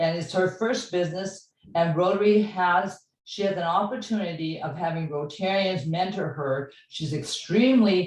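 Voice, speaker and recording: The voice is somewhat breathy. It moves at a moderate pace. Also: woman, medium pitch for a woman, ordinary pitch variation. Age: 80s+. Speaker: club member speaking at a meeting. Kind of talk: open-floor comment at a training session.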